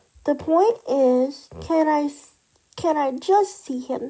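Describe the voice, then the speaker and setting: Using a put-on character voice, a woman talks at a fairly slow pace with a high pitch. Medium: read story.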